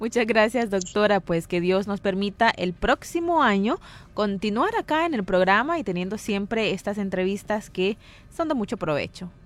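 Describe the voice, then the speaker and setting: A woman's ordinary speaking voice at a moderate pace, with lively intonation. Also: medium pitch for a woman. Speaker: radio host.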